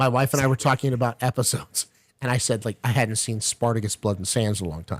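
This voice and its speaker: A man with an American accent talks at a very fast pace in a medium pitch, his pitch varying in an ordinary way, and the sound is dry and close with no echo. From Texas. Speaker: podcast guest. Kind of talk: casual chat. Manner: animated.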